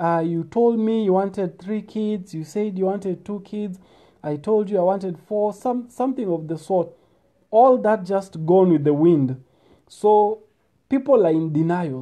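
A man's voice sits high in pitch with a dark, mellow tone. His pitch varies in an ordinary way against a quiet background. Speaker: speaker. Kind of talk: casual advice talk. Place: home room. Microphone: earbuds.

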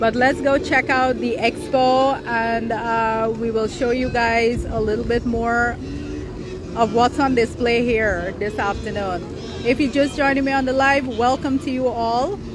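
Clear music plays in the background as a woman speaks at a fairly slow pace, the sound dry with no echo. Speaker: livestream host. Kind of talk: casual vlog chat. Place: market. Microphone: phone near.

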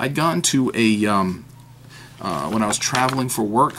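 The speaker has an American accent and ordinary pitch variation, with noticeable background noise behind the voice. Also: man. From New Hampshire, US. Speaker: fountain pen YouTuber. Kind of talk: casual unboxing monologue. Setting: at home desk. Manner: hesitant, many fillers.

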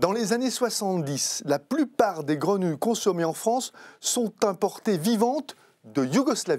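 Very wide pitch swings at a very slow pace, with very even loudness. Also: man, high pitch for a man. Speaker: TV host. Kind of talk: interview chat.

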